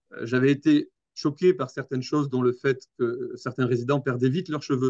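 The delivery moves at a moderate pace with ordinary pitch variation, and the sound is dry and close with no echo. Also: man. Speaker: nursing home director. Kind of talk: interview conversation. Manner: halting, frequent hesitations and repetitions.

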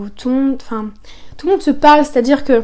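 A woman speaks at a high pitch with a dark, mellow tone. Her pitch variation is ordinary. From northern France (Soissons). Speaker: animator and painter. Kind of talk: casual interview.

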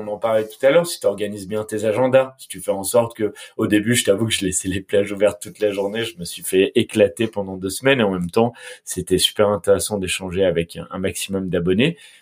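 A fairly low-pitched man's voice at a very fast pace, with big swings in loudness. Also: ordinary pitch variation. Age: 20s. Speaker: media entrepreneur. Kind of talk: casual interview. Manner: halting, frequent repetitions.

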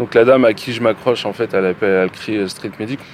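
Noticeable background noise sits behind a man talking at a moderate pace with ordinary pitch variation. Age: 40s. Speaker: factory worker, injured protester. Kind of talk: testimony.

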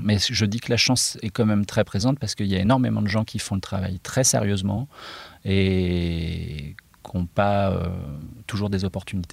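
Recorded very cleanly against a silent background, a man speaks at a moderate pace in a fairly low pitch with ordinary pitch variation. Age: 40s. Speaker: illustrator and comic book author. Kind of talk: interview. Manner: hesitant, many fillers.

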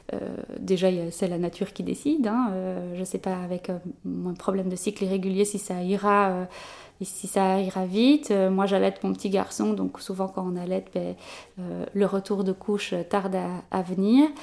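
Talking at a moderate pace in a medium pitch, a woman with a normal speaking voice keeps her intonation fairly even. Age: 20s. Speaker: journalist and new mother. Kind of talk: interview about personal experience. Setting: at the guest's home.

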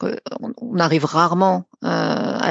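A woman's voice, fairly low in pitch. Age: 50s. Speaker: psychotraumatology doctor. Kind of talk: interview.

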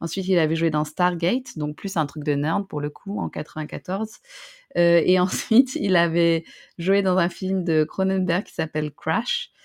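A woman speaks at a very slow pace, with big swings in loudness. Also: fairly low pitch for a woman, ordinary pitch variation. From northern France (Roubaix). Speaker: podcast co-host. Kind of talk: casual chat.

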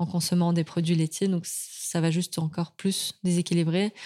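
A woman's fairly low, dark and mellow voice at a moderate pace, monotone and flat, with very even loudness and a dry, close sound with no echo on a very clean recording with a silent background. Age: 30s. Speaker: endometriosis patient and awareness advocate. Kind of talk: casual chat.

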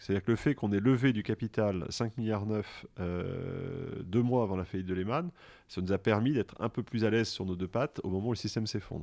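Over a quiet background, a man with a fairly low pitch and a dark, mellow tone speaks at a fairly quick pace with ordinary pitch variation. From France (Grenoble area). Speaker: finance executive. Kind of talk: interview.

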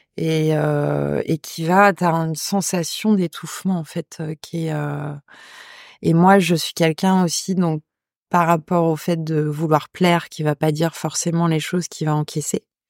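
A woman speaks fairly slowly in a fairly low, monotone voice with flat intonation. The recording is very clean and dry, close with no echo, over a silent background. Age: 40s. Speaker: head chef. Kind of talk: testimony. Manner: hesitant.

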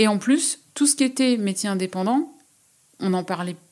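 This woman's intonation is lively and her pace is moderate. The recording is very clean, with a silent background. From rural France. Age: 40s. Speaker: freelance writer and artist. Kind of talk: interview. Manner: hesitant, many fillers.

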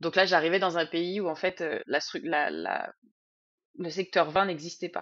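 A woman's fairly low-pitched voice, fairly slow and fairly even in intonation, with long, frequent pauses. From Sologne, Loir-et-Cher, France. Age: 40s. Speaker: winemaker. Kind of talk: interview. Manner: hesitant with fillers.

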